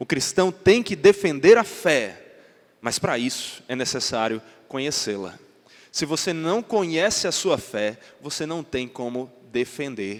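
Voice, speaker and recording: A man talks at a fairly slow pace with a fairly high pitch. His pitch swings very widely. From Northeast Brazil (João Pessoa, Paraíba). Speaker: pastor. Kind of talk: sermon.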